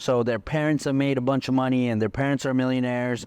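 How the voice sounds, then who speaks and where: Speaking fairly quickly, a man uses a normal speaking voice at a medium pitch. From India, moved to Texas at eleven. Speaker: entrepreneur, car rental business owner. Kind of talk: podcast interview.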